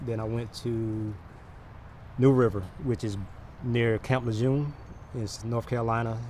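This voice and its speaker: In an American accent, the quiet speaker goes at a fairly slow pace with monotone, flat intonation. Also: man. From Atlanta, Georgia. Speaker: car detailer, former US Marine. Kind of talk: interview answer. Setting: outdoors. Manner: quiet, unassuming.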